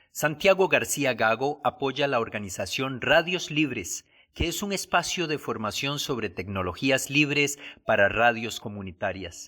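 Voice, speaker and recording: In a very clean recording with a silent background, a man at a medium pitch speaks at a fairly slow pace with a bright, sharp tone and very wide pitch swings. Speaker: professor and program host. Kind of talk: radio program narration and interview.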